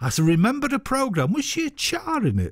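A man talks with a Mancunian accent. The sound is dry with no echo, and the background is quiet. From northern England. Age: 60s. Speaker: radio host. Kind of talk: radio show. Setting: studio. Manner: enthusiastic. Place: studio.

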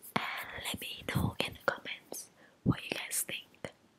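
A woman whispering at a very slow pace. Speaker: ASMR creator. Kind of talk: casual vlog chat. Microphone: studio mic.

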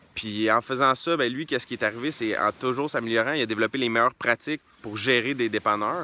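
Speaking with a Quebec accent, a man has a bright, sharp tone and fairly even intonation. He talks at a very fast pace, and the sound is dry with no echo. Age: 20s. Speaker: entrepreneur and book reviewer; book reviewer. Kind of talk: casual book review monologue. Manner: hesitant with many repeated words and fillers. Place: open country. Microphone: phone near.

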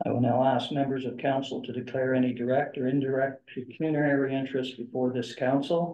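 At a moderate pace, a man speaks in a monotone, flat intonation. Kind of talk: formal meeting procedure. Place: meeting room.

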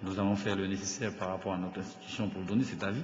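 There is audible room echo around a man with a fairly low pitch. He talks at a fairly quick pace. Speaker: government minister. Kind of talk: formal assembly debate. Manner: halting, many hesitations.

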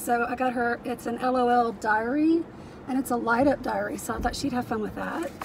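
A woman speaks at a fairly quick pace in a high pitch. The sound is dry with no echo, and there is light background noise. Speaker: reseller vlogger. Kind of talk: casual vlog chat. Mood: cheerful, chatty. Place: car. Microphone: phone near.

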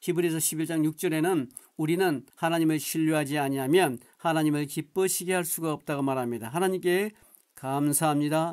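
Here is a man with an unremarkable speaking voice, fairly high in pitch, with ordinary pitch variation. He goes at a moderate pace on a very clean recording with a silent background. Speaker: pastor. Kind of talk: sermon.

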